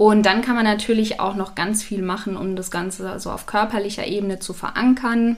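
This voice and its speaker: Speaking at a fairly quick clip with hardly any pauses, a woman delivers her lines in a flat monotone at medium pitch. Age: 30s. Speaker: business founder. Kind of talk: interview. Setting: in person.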